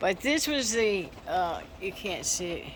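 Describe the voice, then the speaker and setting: A woman with an American accent speaks at a very slow pace. Audible room echo and noticeable background noise surround her voice. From Texas. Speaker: antique salvage shop owner. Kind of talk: casual video walkthrough. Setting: indoors in her shop during storm. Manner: halting.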